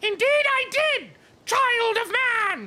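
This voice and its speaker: Someone uses a put-on character voice with extremely high pitch. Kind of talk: archaic, formal. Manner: grandiose, proclaiming.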